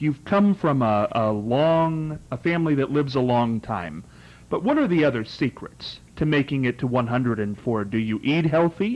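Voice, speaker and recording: A man with an ordinary speaking voice, fairly high pitched for a man, with lively intonation, very even loudness, a moderate pace and a quiet background. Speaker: talk show host. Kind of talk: interview question.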